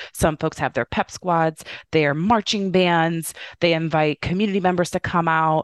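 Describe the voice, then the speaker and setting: Speaking with an American accent, a woman uses an unremarkable speaking voice at a fairly low pitch and moderate pace. Her loudness stays very even and her intonation fairly even, with a dry, close sound, no echo, and a quiet background. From Indiana, US Midwest. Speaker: youth voting organization executive. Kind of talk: interview.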